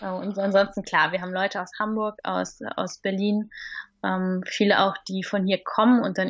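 A woman speaks at a moderate pace, her voice at a medium pitch. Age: 30s. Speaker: stand-up paddling instructor and station owner. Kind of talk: interview. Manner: hesitant, many fillers.

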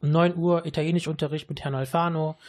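Against a quiet background, a man with a somewhat breathy voice speaks at a fairly quick pace. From Düsseldorf, Germany (born in Sicily). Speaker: teacher. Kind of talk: radio interview. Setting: studio.

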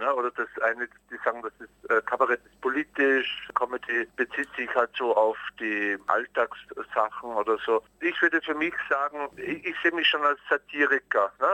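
Moderate pace, dry and close sound with no echo, and noticeable background noise. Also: man. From Austria. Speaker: cabaret artist. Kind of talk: interview. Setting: phone call.

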